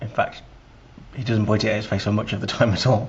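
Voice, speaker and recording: With an English accent, a man speaks at a fairly low pitch and with fairly even intonation. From England. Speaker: podcast host. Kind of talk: scripted introduction; interview.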